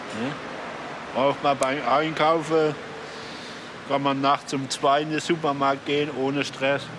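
Noticeable background noise sits behind a man speaking at a very slow pace. His intonation is monotone and flat. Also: fairly high pitch for a man. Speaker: bus and taxi driver. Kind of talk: interview.

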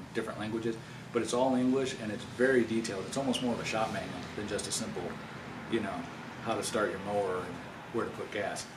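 A man talking very fast with fairly even intonation, amid noticeable background noise. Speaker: new owner reviewing his lawn tractor. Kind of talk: product review. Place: garage. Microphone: camera far.

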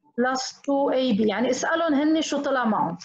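Speaking at a fairly slow pace with lively intonation, a woman is heard over a quiet background with audible room echo. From Lebanon. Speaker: teacher. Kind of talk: webinar tutorial. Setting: video call. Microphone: video call.

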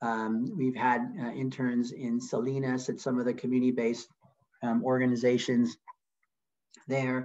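A man at a moderate pace with long, frequent pauses against a quiet background. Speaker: nonprofit founder and CEO. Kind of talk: webinar presentation. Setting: video call. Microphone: video call.

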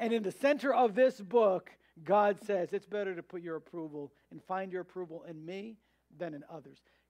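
A man's high voice at a moderate pace, with ordinary pitch variation, big swings in loudness and a quiet background. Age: 30s. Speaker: pastor. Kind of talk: sermon. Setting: church. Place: church.

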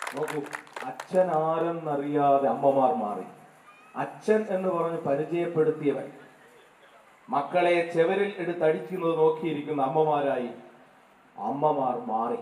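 Audible room echo surrounds a man's voice. His pitch is fairly high, with ordinary variation. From Kerala. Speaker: poet. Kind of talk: public speech. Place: stage.

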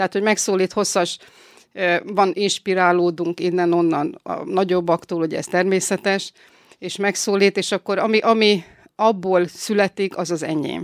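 A woman with an unremarkable speaking voice talks at a moderate pace and medium pitch, the sound dry and close with no echo. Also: fairly even intonation, very clean recording, silent background. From northern Hungary, Salgótarján area. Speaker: violinist and glass painter. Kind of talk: interview. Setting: studio.

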